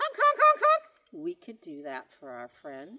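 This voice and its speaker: A squeaky put-on character voice is raised and projected. It moves at a fairly slow pace. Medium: read story. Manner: friendly.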